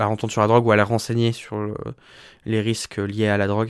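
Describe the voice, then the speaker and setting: A man with a fairly low voice keeps a flat, monotone line at a moderate speed, on a very clean recording with a silent background. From France, Le Mans (Sarthe). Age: 20s. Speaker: drag artist. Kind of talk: casual interview.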